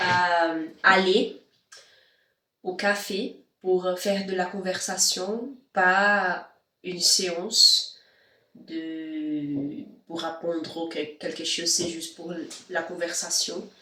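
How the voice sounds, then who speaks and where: Amid audible room echo, a woman with a non-native accent speaks very slowly at a fairly low pitch, with fairly even intonation and long, frequent pauses. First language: not French (speaking French). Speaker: vlogger and language learner. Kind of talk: casual vlog. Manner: halting, many hesitations.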